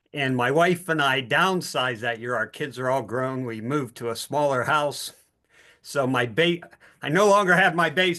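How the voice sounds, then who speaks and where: A man with an American accent speaks in a bright, sharp tone at a fairly high pitch with ordinary variation. The background is quiet. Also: moderate pace. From Pittsburgh, US. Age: 60s. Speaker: participant sharing a testimony. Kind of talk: testimony.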